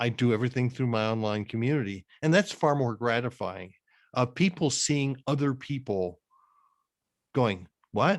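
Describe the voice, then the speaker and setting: A man with a plain, everyday voice speaks at a medium pitch and a moderate pace with lively intonation. The recording is very clean, with a silent background. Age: 60s. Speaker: career coach and author. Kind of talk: interview.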